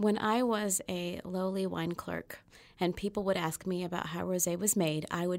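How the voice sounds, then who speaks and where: A normal speaking voice with an American accent comes through on a very clean recording with a silent background. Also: woman. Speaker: podcast host and food writer. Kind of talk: podcast interview, scripted intro then casual chat.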